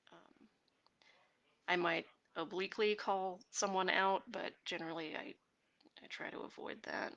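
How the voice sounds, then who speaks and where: Soft-spoken and at a fairly slow pace, a woman keeps a fairly even intonation while her loudness swings widely and long pauses come often. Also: medium pitch for a woman. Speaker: webcomic artist streaming while drawing. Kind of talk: casual live stream chat answering comments. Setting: live video stream. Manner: soft-spoken, talking quietly; hesitant, many fillers.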